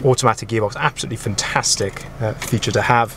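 Over faint background noise, a man talks at a fairly quick pace.

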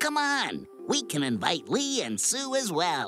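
A slow-ish cartoonish character voice with a fairly bright tone and very wide pitch swings, faint music in the background. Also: woman.

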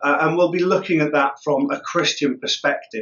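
This is a man speaking. The background is quiet. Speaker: church minister. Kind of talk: church notices to the congregation. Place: home room. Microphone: phone near.

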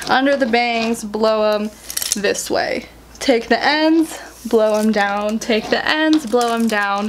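Over light background noise, the speech unfolds at a very slow pace. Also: woman, fairly high pitch for a woman, ordinary pitch variation. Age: 20s. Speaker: YouTuber and author; YouTuber. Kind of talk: casual vlog chat.

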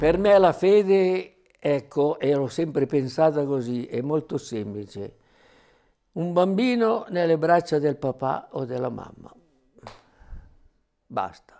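Delivered at a very slow pace with long, frequent pauses, a man's fairly high voice carries lively intonation. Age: 80s+. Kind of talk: testimony. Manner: conversational. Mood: warm, reflective. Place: home room. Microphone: lapel.

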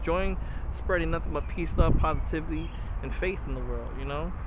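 Talking at a fairly quick pace, a man is heard in a dry sound with no echo amid noticeable background noise. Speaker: vlogger. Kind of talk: casual vlog chat. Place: street. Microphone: phone near.

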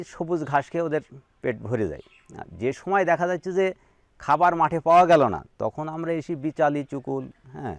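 The man has an unremarkable speaking voice with a fairly high pitch and ordinary pitch variation. The sound is dry and close, with no echo. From Bangladesh, Meherpur district. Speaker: sheep farmer. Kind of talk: interview. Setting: at his farm.

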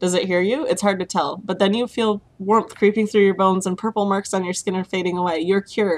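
Reading aloud in a natural voice, with fairly even intonation

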